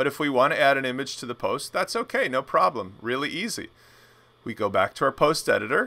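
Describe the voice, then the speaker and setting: A man speaks fairly quickly. Background silence surrounds a very clean recording. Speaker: web design instructor. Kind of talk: tutorial presentation. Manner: fast; casual.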